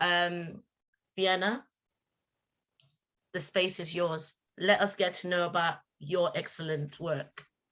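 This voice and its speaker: Using a bright, sharp tone, a woman speaks very slowly at a fairly low pitch with fairly even intonation and long, frequent pauses. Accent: Nigerian. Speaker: community event presenter. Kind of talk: live event introduction.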